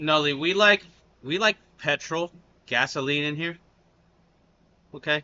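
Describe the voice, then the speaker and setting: An American man talks at a fairly slow pace with long, frequent pauses. His pitch is fairly high, with ordinary variation. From United States. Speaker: reaction youtuber. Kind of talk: casual chat.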